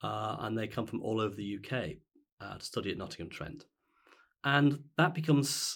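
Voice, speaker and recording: In a very clean recording with a silent background, a man with an ordinary speaking voice and medium pitch talks at a moderate pace with lively intonation. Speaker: university vice chancellor. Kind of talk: interview about leadership.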